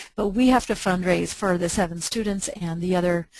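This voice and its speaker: A woman speaks with an unremarkable speaking voice at medium pitch. Her intonation is fairly even and her pace moderate. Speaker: nonprofit chapter volunteer presenter. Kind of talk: webinar presentation. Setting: webinar.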